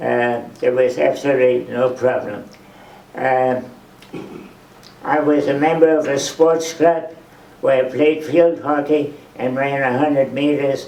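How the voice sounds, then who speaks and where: Speaking in a flat monotone at a fairly slow pace with long, frequent pauses, a man with a fairly high pitch is heard over noticeable background noise and audible room echo. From Germany (Frankfurt). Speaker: Holocaust survivor and museum docent. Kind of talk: testimony. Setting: museum talk with live audience.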